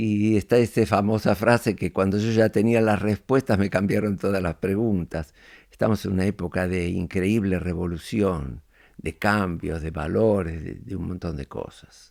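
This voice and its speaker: A man with a Rioplatense accent speaks at a fairly slow pace, his fairly low pitch showing ordinary variation, on a very clean recording with a silent background. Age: 90s. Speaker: podcast guest, elder reflecting on life. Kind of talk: interview conversation. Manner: reflective, hesitant with fillers.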